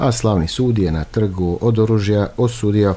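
A man with a fairly low pitch, ordinary pitch variation and a normal speaking voice. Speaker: radio show host. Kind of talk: radio host introduction, news summary. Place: studio.

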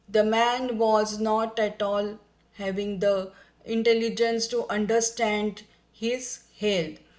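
With audible room echo, a woman at a fairly high pitch speaks very slowly in a flat, monotone way. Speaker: professor of homeopathic medicine. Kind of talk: lecture.

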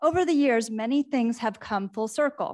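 With a quiet background, a woman talks at a fairly quick pace with ordinary pitch variation. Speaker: candidate. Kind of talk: prepared opening statement. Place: hall.

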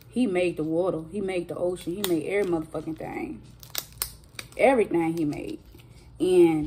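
Over light background noise, a woman with a fairly low pitch speaks at a moderate pace, her pitch varying in an ordinary way. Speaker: vlogger. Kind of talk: casual vlog chat. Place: home room. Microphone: phone near.

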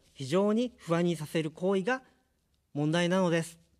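A man with a high-pitched voice speaks at a fairly slow pace over a quiet background. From Japan, Kanagawa; Japan. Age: 50s. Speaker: political candidate; candidate. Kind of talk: campaign speech. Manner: formal. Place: studio. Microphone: studio mic.

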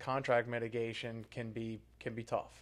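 A man talks with a New Orleans accent. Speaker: real estate podcast co-host. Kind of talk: casual chat. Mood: relaxed, conversational. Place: meeting room. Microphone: studio mic.

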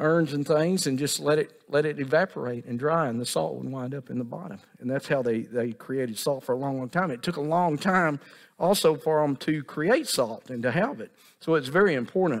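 A man talking at a fairly quick pace with ordinary pitch variation, against a quiet background. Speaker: pastor. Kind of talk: sermon. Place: church.

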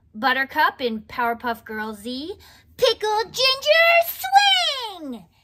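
A woman speaks in a raised, projected voice at a very slow pace, her pitch swinging very widely over light background noise. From Canada. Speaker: voice actor. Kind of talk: casual talk to camera. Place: home room. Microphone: studio mic.

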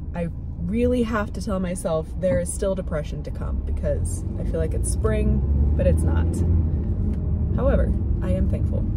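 A woman at a moderate pace with ordinary pitch variation and long, frequent pauses, a dry sound with no echo, and loud background noise. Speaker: vlogger. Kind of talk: casual vlog chat. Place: car. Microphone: phone near.

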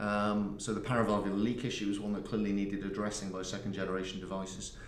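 Over light background noise and audible room echo, a man with a fairly low pitch talks very fast in a monotone, flat delivery. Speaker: guest. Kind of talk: interview answer. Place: booth.

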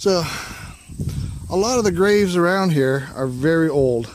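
In a room with audible echo, a man speaks at a fairly slow pace, his pitch fairly high and his intonation lively, with a slightly mellow tone.

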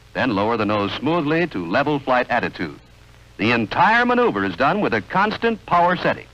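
A man's bright, sharp voice with vocal fry and very wide pitch swings, at a fairly quick pace. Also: medium pitch for a man. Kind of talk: vintage training film narration. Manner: formal, measured, authoritative instructional delivery; steady, crisp, even-paced, second-person commands.

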